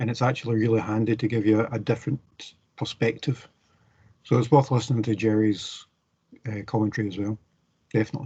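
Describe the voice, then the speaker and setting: A man's somewhat breathy voice, dark and mellow in tone, at a very fast pace broken by long, frequent pauses. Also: medium pitch for a man, fairly even intonation. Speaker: university lecturer. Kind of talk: online class session.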